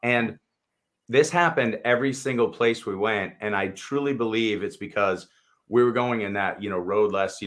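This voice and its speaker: A man talks at a moderate pace. His pitch is medium, with ordinary pitch variation. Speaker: travel show co-host. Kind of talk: casual chat. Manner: loud.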